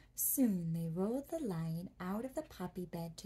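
Her voice has a somewhat breathy quality. The woman talks at a fairly slow pace. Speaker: storyteller. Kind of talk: bedtime story reading. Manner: soft, hushed bedtime reading voice. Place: home room.

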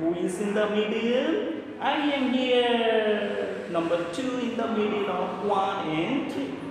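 A very slow pace amid strong room echo and noticeable background noise. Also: man. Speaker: teacher. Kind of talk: children's lesson with puppet voices. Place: classroom. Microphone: phone near.

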